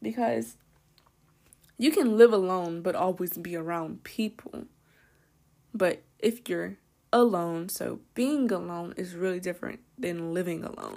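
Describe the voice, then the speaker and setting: A woman with a fairly low pitch and a dark, mellow tone speaks at a fairly slow pace, with lively intonation and big swings in loudness. Her long, frequent pauses stand out in a very clean recording with a silent background. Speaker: podcast host. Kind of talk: casual monologue.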